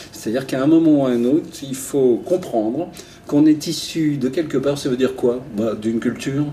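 A man talks at a moderate pace with lively intonation and a medium pitch. He has an ordinary speaking voice. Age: 60s. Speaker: retired travel journalist. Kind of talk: interview.

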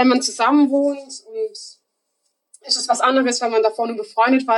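High-pitched female voice, moderate pace, ordinary pitch variation. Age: 20s. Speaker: apprentice. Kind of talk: casual interview.

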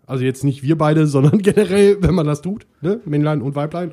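Speaking at a very fast pace, a man with a fairly high pitch and a dark, mellow tone shows ordinary pitch variation. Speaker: podcast host. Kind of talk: casual chat.

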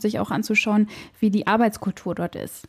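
A woman's voice with fairly even intonation, dry and close with no echo, over noticeable background noise. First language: German. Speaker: podcast host, health management worker. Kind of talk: interview.

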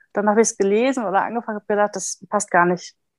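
Close and dry with no echo over a quiet background, a woman's normal speaking voice sits at a medium pitch with fairly even intonation. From Ruhr area, Germany (Recklinghausen). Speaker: book blogger. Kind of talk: casual chat.

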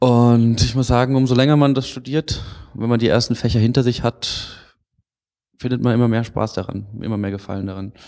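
A man's medium-pitched voice with a dark, mellow tone, fairly quick pace and fairly even intonation. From Freiburg, southwest Germany. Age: 20s. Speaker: engineering student. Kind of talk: interview.

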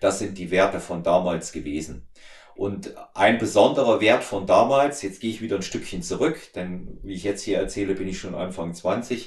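At a moderate pace, a man with a somewhat breathy, fairly low-pitched voice speaks with ordinary pitch variation. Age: 50s. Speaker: podcast host and strength coach. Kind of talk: casual interview, being interviewed.

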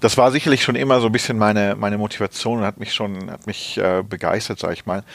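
A fairly low-pitched man talks very fast with hardly any pauses and fairly even intonation. His loudness swings widely over noticeable background noise. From Rhineland, Germany (Neuss). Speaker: corporate HR director. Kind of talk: interview. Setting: office. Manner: hesitant, many fillers.

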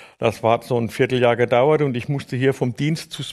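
A man's fairly high voice at a moderate pace, with fairly even intonation. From Palatinate, Germany (Neustadt an der Weinstraße). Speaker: orchestra tuba player. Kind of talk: casual interview. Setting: studio.

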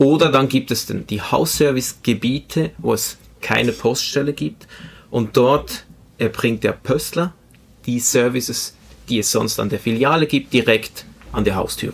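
A man talks at a fairly slow pace in a medium pitch, with vocal fry. His pitch varies in an ordinary way. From Switzerland, Spanish immigrant family. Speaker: IT project manager. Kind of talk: interview.

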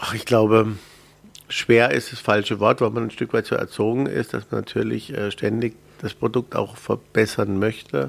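The speech moves at a moderate pace with vocal fry and ordinary pitch variation. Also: man, medium pitch for a man. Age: 40s. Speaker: theme park executive. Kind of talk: interview. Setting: studio.

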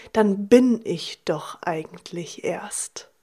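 This woman's voice sits fairly high in pitch. Her tone is warm, dark and mellow. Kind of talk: motivational monologue. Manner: warm, direct address to listener.

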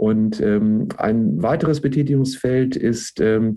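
This man talks at medium pitch with ordinary pitch variation. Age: 50s. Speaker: university sports director. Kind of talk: interview. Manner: frequent filler hesitations.

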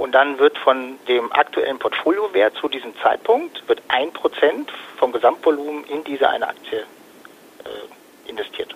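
With a slightly husky edge and vocal fry, a man at medium pitch talks at a fairly slow pace with lively intonation.

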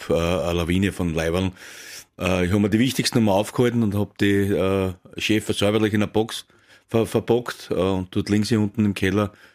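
Recorded very cleanly against a silent background, a man with an Austrian accent talks at a moderate pace, his fairly low pitch carried in fairly even intonation and very even loudness. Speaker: former professional footballer. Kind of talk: casual interview. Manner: halting.

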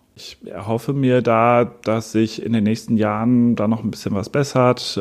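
A man talks at a moderate pace in a fairly low pitch, with a slightly mellow tone, vocal fry and fairly even intonation.

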